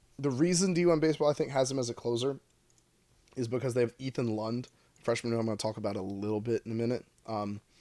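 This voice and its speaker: A man speaks at a very fast pace with a dark, mellow tone. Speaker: college baseball podcast co-host. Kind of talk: casual podcast discussion. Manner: casual, filler-heavy.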